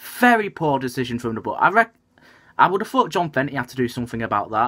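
The background is quiet. The pitch swings very widely. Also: man. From northern England. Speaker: football fan vlogger. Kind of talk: casual vlog commentary. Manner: fuming, indignant rant about politics in his club; halting, filler-heavy with frequent ums. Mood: annoyed, ranting. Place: home room. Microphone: webcam.

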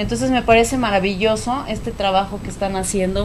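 A woman speaks at a medium pitch with fairly even intonation. There is noticeable background noise. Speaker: TV talk show host. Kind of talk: casual interview. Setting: studio.

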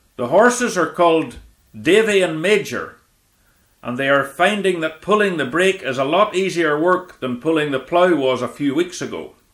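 A man's high voice with lively intonation at a moderate pace. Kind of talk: vintage farming documentary narration. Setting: voiceover. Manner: measured, even, formal, informative.

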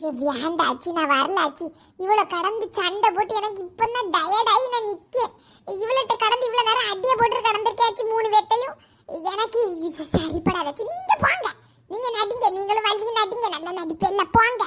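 In a cartoonish character voice, a woman speaks at a moderate pace with an extremely high pitch. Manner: quarrelsome, grumbling.

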